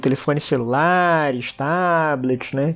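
A man speaks at a fairly high pitch with ordinary pitch variation, music playing in the background. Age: 40s. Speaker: international relations professor. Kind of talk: interview about a trip.

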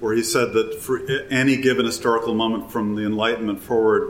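There is audible room echo on this recording. A man speaks with an American accent. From US Midwest, Wisconsin. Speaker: environmental historian. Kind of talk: live interview before audience. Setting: hotel event with live audience.

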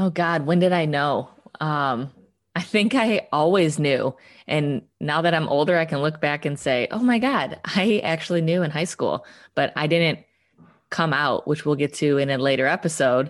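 Against a quiet background, a woman with a very deep, low pitch talks at a moderate pace, her loudness very even and her pitch variation ordinary. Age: 30s. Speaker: podcast co-host. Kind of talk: casual chat.

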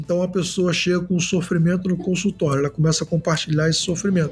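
High-pitched male speech with fairly even intonation. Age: 40s. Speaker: pastor and psychologist, sex therapist. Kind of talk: interview.

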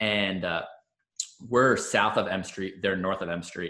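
Bright and sharp in tone, a man with an American accent speaks with fairly even intonation. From Long Island, New York. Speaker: physical therapist, podcast host. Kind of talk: casual interview chat.

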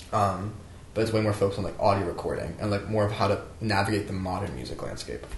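A man with an American accent at a very fast pace, long frequent pauses, audible room echo and noticeable background noise. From US Southwest, New Mexico. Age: 20s. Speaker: aspiring musician. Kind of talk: casual chat. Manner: filler-heavy, halting.

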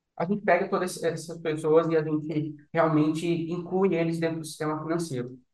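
With hardly any pauses, a man talks at a moderate pace in a high, monotone voice with flat intonation and audible room echo. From Recife, Brazil, raised in Brasília. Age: 20s. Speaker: startup founder. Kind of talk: interview.

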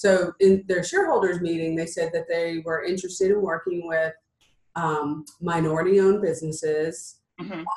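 A woman talks at a moderate pace in a fairly low pitch with monotone, flat intonation. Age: 50s. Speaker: entrepreneur and business coach. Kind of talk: interview.

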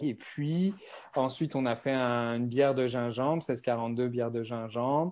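Against a quiet background, the talking proceeds fairly slowly with ordinary pitch variation. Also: man, medium pitch for a man. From France. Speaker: beverage company founder. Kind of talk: interview. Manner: hesitant, many fillers.

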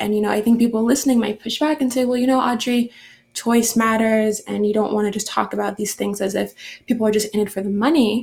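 A woman speaks at a fairly quick pace in a monotone, flat delivery. Her voice sits fairly high and sounds somewhat breathy. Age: young. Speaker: podcast host. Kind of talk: interview.

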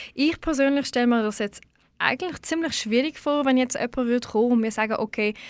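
Heard on a very clean recording with a silent background, a woman uses a normal speaking voice at a fairly high pitch with ordinary pitch variation. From Switzerland, Baden region. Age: 20s. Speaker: radio host. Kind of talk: poetry slam; interview. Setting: radio studio.

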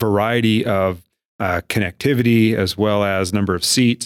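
A man with a fairly low pitch and an unremarkable speaking voice keeps his intonation fairly even in a dry, close sound with no echo, on a very clean recording with a silent background. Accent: American. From eastern Montana (Miles City). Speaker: chamber of commerce CEO. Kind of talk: casual interview.

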